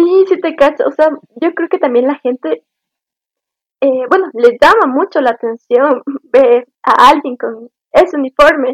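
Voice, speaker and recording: This woman's voice is high-pitched with ordinary pitch variation and a fairly slow pace, broken by long, frequent pauses. The sound is dry and close, with no echo. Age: 20s. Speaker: university student, scout. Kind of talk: casual interview.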